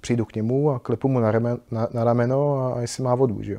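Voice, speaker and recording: A man's dark, mellow tone at medium pitch, monotone and flat, at a fairly quick pace, with a dry, close sound, no echo and a quiet background. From Czechia, Podkrkonoší region. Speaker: motorcycle traveller. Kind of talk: interview. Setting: motorcycle shop.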